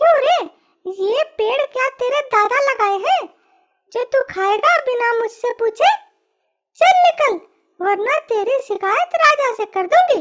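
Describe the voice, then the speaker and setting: In a squeaky put-on character voice, a female-sounding speaker goes extremely high in pitch at a fairly slow pace with long, frequent pauses. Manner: angry, scolding.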